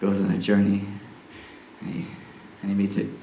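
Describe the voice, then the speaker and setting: Fairly quick speech from a man with a fairly low pitch, against noticeable background noise. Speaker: circus acrobat and performer. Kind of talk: live one-man stage show, talking to audience. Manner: casual, hesitant, comic.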